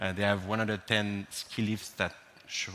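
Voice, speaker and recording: A man with a French accent speaks at a fairly low pitch. His pace is moderate. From France. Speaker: cybersecurity speaker. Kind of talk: conference talk. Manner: hesitant, many fillers.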